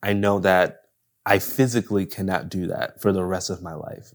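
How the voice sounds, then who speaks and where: A normal speaking voice, a man's, sits at a fairly low pitch with an American accent. His intonation is fairly even, on a very clean recording with a silent background. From Buffalo, New York. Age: 30s. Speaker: director and photographer. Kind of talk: casual interview chat.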